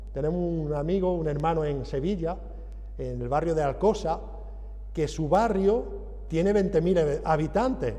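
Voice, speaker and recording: A man speaks at a moderate pace with an Andalusian accent. Some room echo can be heard. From Andalusia, southern Spain. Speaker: visiting preacher. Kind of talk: sermon.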